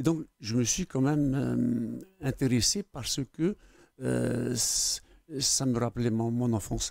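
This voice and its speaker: With a Tahitian accent, a man talks at a very slow pace and a very even loudness. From French Polynesia, Tubuai, Austral Islands. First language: Tahitian (speaking French). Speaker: academy member, Tahitian writer. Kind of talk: TV interview. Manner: hesitant, many fillers.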